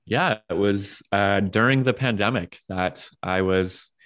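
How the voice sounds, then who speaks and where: An ordinary speaking voice from a man with an American accent, fairly low in pitch and fairly even in intonation, against a quiet background. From US, Washington D.C. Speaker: pastor and author. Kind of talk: casual interview.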